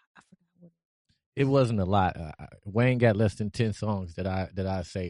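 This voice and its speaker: A man with an American accent speaks at a moderate pace in a fairly low pitch, with a dark, mellow tone, ordinary pitch variation, and a dry, close sound with no echo against a quiet background. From Cleveland, Ohio. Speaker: podcast guest. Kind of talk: casual chat.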